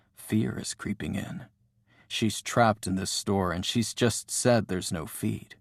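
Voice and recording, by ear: A passage is read aloud. The voice sounds natural throughout.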